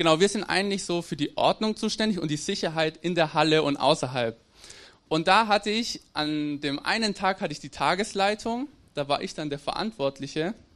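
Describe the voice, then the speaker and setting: With ordinary pitch variation, a high-pitched man talks at a moderate pace over a quiet background. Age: 20s. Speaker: theology student. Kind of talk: sermon. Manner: halting.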